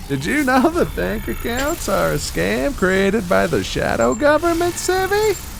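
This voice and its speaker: A man puts on a character voice at a high pitch. Clear background noise sits behind him. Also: moderate pace. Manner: cartoonish.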